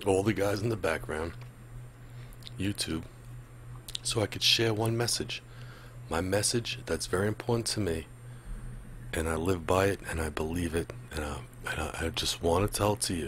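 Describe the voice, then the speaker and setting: With vocal fry and a very deep, low pitch, a man speaks with long, frequent pauses in a dry sound with no echo, over light background noise. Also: lively intonation, moderate pace. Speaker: music reaction host. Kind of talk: casual vlog chat. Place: home room. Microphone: studio mic.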